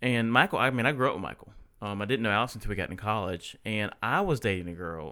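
Over a very clean recording with a silent background, a man with a Southern US accent speaks at a fairly low pitch with lively intonation. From US South, Statesboro, Georgia. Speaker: spouse of athlete. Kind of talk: casual chat.

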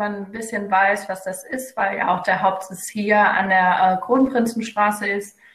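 A woman's medium-pitched voice carries fairly even intonation, with noticeable background noise behind it. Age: 20s. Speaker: psychology student and local party spokesperson. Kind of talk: casual interview. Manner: hesitant, many fillers.

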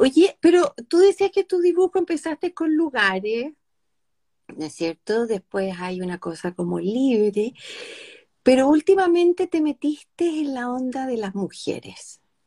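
In a Chilean accent, a dark, mellow voice makes very wide pitch swings, recorded with a dry, close sound and no echo. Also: woman, high pitch for a woman, fairly slow pace, big swings in loudness. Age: 50s. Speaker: live stream host. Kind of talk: casual interview chat.

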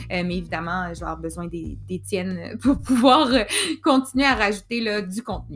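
A woman with a Quebec accent at a moderate pace, with big swings in loudness. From Quebec, Montreal. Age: 30s. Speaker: podcast host, mental health worker. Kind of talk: personal storytelling monologue.

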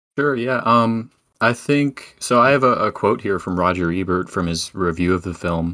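With lively intonation, a man speaks in a plain, everyday voice, fairly low in pitch at a moderate pace, on a very clean recording with a silent background. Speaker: podcast guest. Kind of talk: casual chat.

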